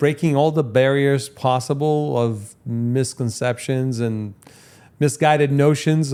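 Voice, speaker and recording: A man's medium-pitched voice has a dark, mellow tone. He speaks at a fairly slow pace. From Brazil. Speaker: podcast host. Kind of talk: interview. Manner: halting, repeats words.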